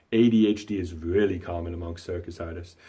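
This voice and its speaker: The voice has a dark, mellow tone and is somewhat breathy, moving at a moderate pace with fairly even intonation. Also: man. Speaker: magician and entertainment company owner. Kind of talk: thank-you testimonial.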